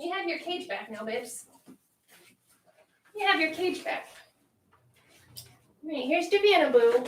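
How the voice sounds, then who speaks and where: A speaker with an American accent uses lively intonation, big swings in loudness and long, frequent pauses. Audible room echo can be heard. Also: woman, extremely high pitch for a woman, moderate pace. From Central Virginia, US South. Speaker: pet YouTuber. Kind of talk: livestream chat. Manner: animated.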